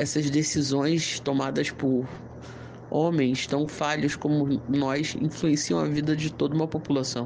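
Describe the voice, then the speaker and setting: A man's fairly high, monotone voice with flat intonation, very even loudness and a fairly slow pace, in audible room echo. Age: 30s. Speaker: interviewee, voter. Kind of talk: interview answers.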